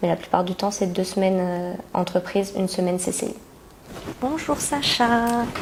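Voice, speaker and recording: Against noticeable background noise, a woman with a medium pitch and ordinary pitch variation talks at a moderate pace. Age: 20s. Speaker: work-study accounting student. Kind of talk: testimony. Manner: hesitant with fillers.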